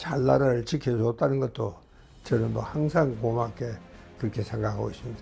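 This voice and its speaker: Music plays in the background as a man of medium pitch speaks at a moderate pace with ordinary pitch variation. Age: 80s+. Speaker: doctor. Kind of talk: interview answer.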